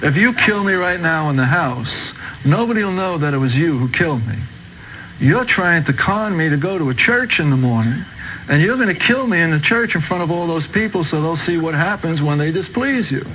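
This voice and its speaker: A man with a New York accent speaks at a fairly quick pace in a high voice with lively intonation, over noticeable background noise and audible room echo. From New York, Brooklyn. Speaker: converted ex-mobster giving testimony. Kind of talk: testimony.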